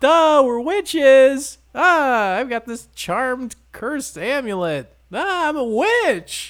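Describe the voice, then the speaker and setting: A put-on character voice, high in pitch, moves at a very slow pace. There are hardly any pauses. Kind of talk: dopey, sing-song. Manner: mocking, dim.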